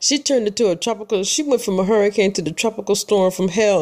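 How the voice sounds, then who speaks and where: An animated woman with an American accent speaks at a medium pitch and a fairly quick pace. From Michigan. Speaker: podcaster. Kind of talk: casual monologue.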